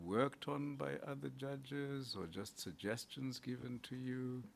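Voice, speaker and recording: Speaking with a non-native accent, a man talks at medium pitch and a fairly slow pace. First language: not English. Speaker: judge on interview panel. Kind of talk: job interview.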